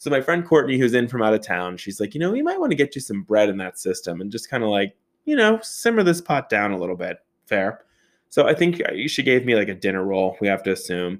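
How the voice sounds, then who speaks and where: A man talks very fast at medium pitch, with lively intonation and an animated tone. The recording is very clean, with a silent background. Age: 30s. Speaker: podcast host. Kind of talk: casual storytelling monologue.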